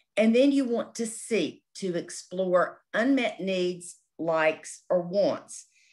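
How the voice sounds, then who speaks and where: With an American accent, a woman at medium pitch speaks at a very slow pace with very wide pitch swings against a quiet background. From North Carolina. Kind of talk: workshop presentation. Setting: office, recorded webinar.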